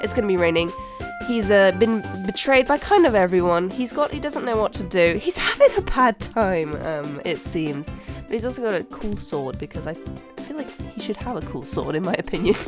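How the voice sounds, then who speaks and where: Over music in the background, a woman at a medium pitch speaks at a moderate pace with very wide pitch swings and big swings in loudness. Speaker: digital artist. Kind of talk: casual speedpaint commentary.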